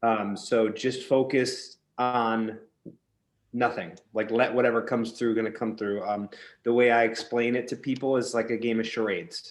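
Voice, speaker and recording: This man speaks at a medium pitch in a monotone, flat intonation. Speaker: psychic medium. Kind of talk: consultation with a client. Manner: fast.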